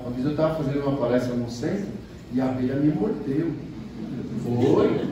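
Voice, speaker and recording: With audible room echo and noticeable background noise, a man talks at a moderate pace with ordinary pitch variation. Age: 70s. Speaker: spiritist lecturer. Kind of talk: lecture.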